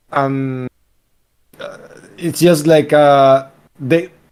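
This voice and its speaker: A man's fairly high voice in a monotone, flat intonation. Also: long, frequent pauses. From Venezuela. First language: Spanish. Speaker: game developer. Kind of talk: casual chat.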